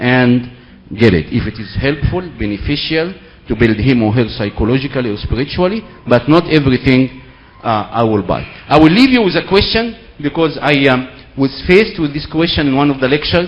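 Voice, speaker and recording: Over noticeable background noise, a man with an Egyptian accent talks at a fairly quick pace in a fairly high pitch with lively intonation. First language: Arabic. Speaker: seminar speaker. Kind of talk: lecture.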